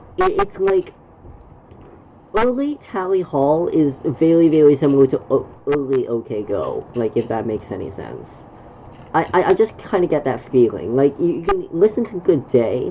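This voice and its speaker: A woman talks at a moderate pace while noticeable noise runs in the background. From Canada. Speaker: gaming streamer. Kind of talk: casual chat. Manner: halting, many fillers and repetitions.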